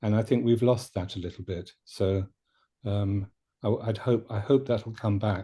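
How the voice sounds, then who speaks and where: With a British accent, a man speaks at a moderate pace and a fairly low pitch, his somewhat breathy voice dark and mellow, his intonation fairly even, over a quiet background. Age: 70s. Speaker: shiatsu teacher. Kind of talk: panel discussion. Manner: halting, with many fillers and restarts.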